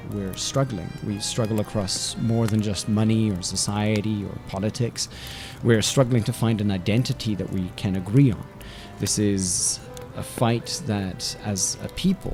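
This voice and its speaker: Music plays in the background while a man with a fairly low pitch speaks at a fairly slow pace. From South Africa. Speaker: radio host and linguistics lecturer. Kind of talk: podcast talk, personal opinion piece.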